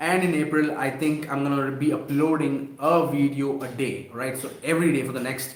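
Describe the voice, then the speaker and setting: With audible room echo around him, a man talks in a fairly high pitch with monotone, flat intonation. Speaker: e-commerce seller and YouTuber; online seller, creator. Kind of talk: live stream Q&A; live stream chat to viewers. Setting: live stream. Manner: halting, many fillers and restarts. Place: home room. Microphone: webcam.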